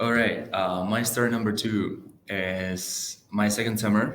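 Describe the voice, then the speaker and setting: A man speaks in a monotone, flat intonation, with audible room echo around him. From Czech Republic. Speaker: door-to-door salesperson. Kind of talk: casual chat. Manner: halting, many fillers.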